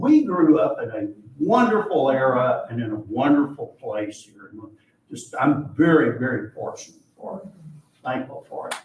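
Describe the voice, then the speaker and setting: Talking at a moderate pace, a man with an Arkansas accent shows big swings in loudness. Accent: US Southern (Arkansas). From Arkansas (Hot Springs). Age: 70s. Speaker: archivist and local historian. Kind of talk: public history talk with audience Q&A. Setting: library room with live audience. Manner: conversational, with frequent fillers.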